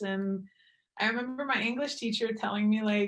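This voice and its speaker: A woman with a Quebec accent speaks in a fairly high pitch with fairly even intonation. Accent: French Quebecois. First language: French. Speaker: professional hockey player. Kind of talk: podcast interview.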